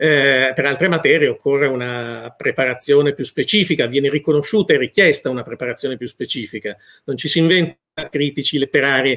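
The delivery is very fast, with ordinary pitch variation. The background is quiet. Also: man. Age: 50s. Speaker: food critic; interviewee. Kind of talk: interview. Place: home room.

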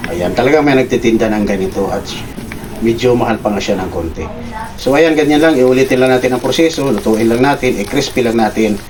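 Male speaker at medium pitch and a fairly quick pace, with ordinary pitch variation and noticeable background noise. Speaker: cooking vlogger. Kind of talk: cooking tutorial. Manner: casual, with frequent filler hesitations.

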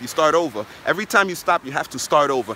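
A man with a New York accent talks at a fairly quick pace in an animated tone with ordinary pitch variation. The sound is dry with no echo, over light background noise. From New York, Brooklyn. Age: 20s. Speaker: network marketer; motivational vlogger. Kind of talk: motivational vlog monologue. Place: beach. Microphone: phone near.

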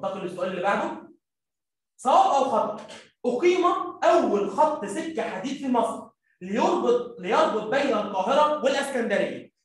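Amid strong room echo, a man speaks at an extremely high pitch with lively intonation and a moderate pace. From Egypt. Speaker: primary school teacher; teacher. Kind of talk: lecture. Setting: live stream. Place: classroom.

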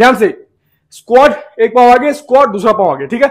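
With ordinary pitch variation, a man speaks at a fairly quick pace.

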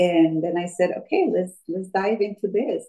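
A woman with a Colombian accent, ordinary pitch variation and a moderate pace, over a quiet background. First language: Spanish. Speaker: fitness instructor. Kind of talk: personal story interview. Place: home room. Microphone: video call.

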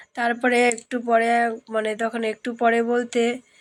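A woman is speaking. Her voice is fairly high in pitch. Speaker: village lifestyle vlogger. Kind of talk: casual vlog narration.

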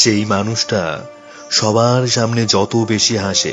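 A man's medium-pitched voice over music in the background. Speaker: radio jockey. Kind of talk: emotional story narration.

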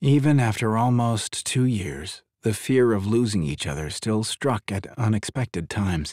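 Against a quiet background comes a natural reading voice.

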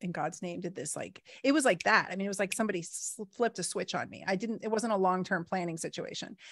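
Talking at a fairly quick pace with ordinary pitch variation, a woman is heard in a dry sound with no echo over a quiet background. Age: 40s. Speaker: podcast host. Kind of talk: casual interview chat. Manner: halting. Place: home room. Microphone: studio mic.

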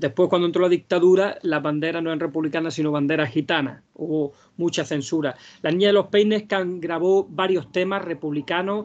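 Speaking at a fairly quick pace, a man uses a high pitch and fairly even intonation. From Andalusia, Vega de Granada; Andalusia. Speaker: flamenco singer and researcher; speaker. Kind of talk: lecture. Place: home room. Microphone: video call.

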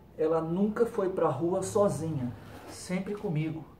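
A man with a high-pitched voice talks at a very slow pace, with audible room echo and light background noise. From Brazil. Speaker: YouTuber. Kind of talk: casual vlog narration. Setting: at home with dog. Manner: casual, chatty. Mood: relaxed, cheerful. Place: garden. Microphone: camera far.

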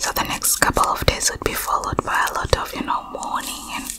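Loud background noise sits under a woman's voice. She keeps a moderate pace. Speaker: ASMR creator. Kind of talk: soft storytelling chat. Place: home room. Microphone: studio mic.

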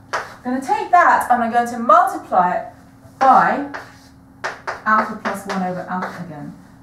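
Noticeable background noise and audible room echo surround a woman speaking high at a moderate pace. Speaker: maths lecturer. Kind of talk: lecture. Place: classroom. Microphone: camera far.

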